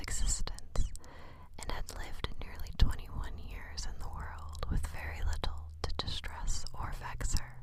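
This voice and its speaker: Fairly slow whispering over noticeable background noise. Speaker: ASMR reader. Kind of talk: whispered audiobook-style reading of a classic novel.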